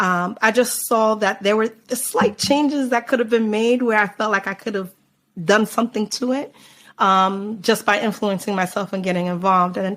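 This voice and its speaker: Speaking in an American accent at a moderate pace, a woman has a normal speaking voice, fairly high in pitch with fairly even intonation, on a very clean recording with a silent background. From United States, Jamaican parents. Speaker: carnival band founder. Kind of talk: podcast interview. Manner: casual, many filler words.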